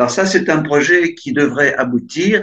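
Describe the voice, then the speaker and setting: A man speaks at a very slow pace. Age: 70s. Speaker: poet. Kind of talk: interview. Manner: hesitant, with many fillers.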